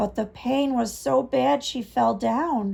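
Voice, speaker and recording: A woman does a raspy put-on character voice. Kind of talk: read-aloud story for children. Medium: read story. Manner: warm, teacherly.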